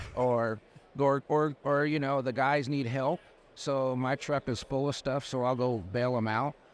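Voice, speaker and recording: An ordinary speaking voice from a man with an American accent, medium in pitch, fairly even in intonation and fairly slow in pace, over a quiet background. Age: 60s. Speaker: landscaping business owner. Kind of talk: casual interview chat. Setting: trade show floor.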